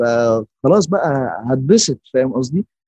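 Lively intonation and a dark, mellow tone come through in a dry, close sound with no echo. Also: man. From Egypt. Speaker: artist. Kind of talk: casual interview chat.

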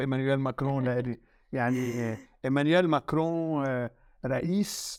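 In a very clean recording with a silent background, a man speaks at a fairly high pitch. His pace is fairly slow and his pitch variation ordinary. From Lebanon. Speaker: media consultant. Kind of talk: interview.

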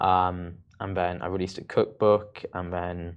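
A man speaks with a British accent against a quiet background. His pitch is very deep and low. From UK. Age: 20s. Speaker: content creator. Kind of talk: interview.

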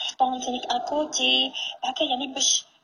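There is noticeable background noise as a woman with a high pitch talks at a moderate pace. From Algeria, Tiaret. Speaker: caller. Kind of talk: casual chat.

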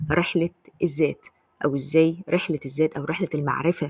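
With an Egyptian accent, the speaker talks at a fairly quick pace in a flat monotone, somewhat breathy, with a dry, close sound and no echo. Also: woman. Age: 20s. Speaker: podcast host. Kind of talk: solo commentary podcast.

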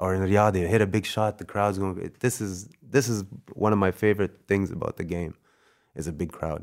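In an unremarkable speaking voice, a man with a Canadian accent talks fairly quickly at a fairly low pitch with fairly even intonation. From Canada. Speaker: basketball player. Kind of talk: casual chat.

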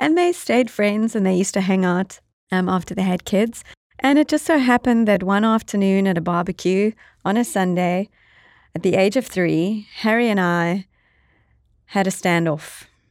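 A woman with a South African accent speaks at a medium pitch and a moderate pace with ordinary pitch variation. Her loudness stays very even on a very clean recording with a silent background. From South Africa (Eastern Cape, near East London). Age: 40s. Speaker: podcast co-host and entrepreneur. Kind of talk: casual chat. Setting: studio.

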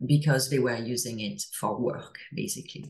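With a French accent, a woman talks at a moderate pace in a somewhat breathy voice with ordinary pitch variation. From France. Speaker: former venture capitalist turned psychedelics mental health advocate. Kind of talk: casual interview.

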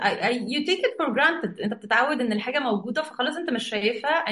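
A high-pitched woman in an Egyptian accent, fairly quick in pace and lively in intonation. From Egypt, raised in Saudi Arabia. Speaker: executive coach. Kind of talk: interview, casual chat mixing Arabic and English.

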